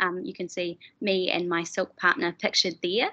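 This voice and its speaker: A woman with a New Zealand accent speaks in a bright, sharp tone. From New Zealand, Dunedin. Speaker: physiotherapy student. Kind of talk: webinar presentation.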